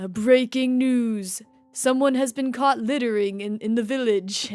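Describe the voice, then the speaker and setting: A female-sounding put-on character voice comes at a fairly high pitch and a moderate pace. Faint music plays in the background. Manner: silly, put-on.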